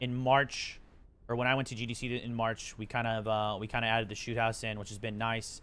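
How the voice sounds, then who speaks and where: Over a silent background, the recording of this man is very clean. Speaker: game developer streamer. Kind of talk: live stream commentary. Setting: live stream. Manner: fast.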